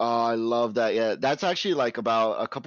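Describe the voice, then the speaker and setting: A man speaks in an animated tone at a medium pitch. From New York, Puerto Rican family. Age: 20s. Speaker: pastry chef and streamer. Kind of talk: casual chat.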